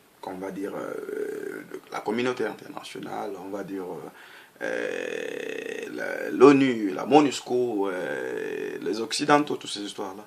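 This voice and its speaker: Very slow speech from a man with a Congolese accent, big swings in loudness, audible room echo and noticeable background noise. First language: Lingala (speaking French). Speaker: political activist. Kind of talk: political monologue. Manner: halting.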